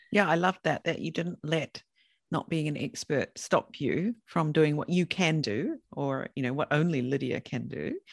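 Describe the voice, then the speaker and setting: This voice has a New Zealand accent and a moderate pace over a quiet background. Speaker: podcast host and consultant. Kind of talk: interview, casual chat.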